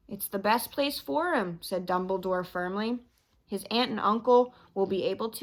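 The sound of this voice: The speaker reads in an unforced voice, and the pitch varies in an ordinary way.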